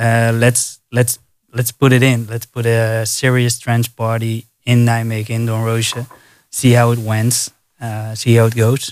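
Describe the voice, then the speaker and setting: In a Dutch accent, a man speaks at a medium pitch and a fairly slow pace. His intonation is monotone and flat. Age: 30s. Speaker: DJ. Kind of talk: casual chat. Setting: studio.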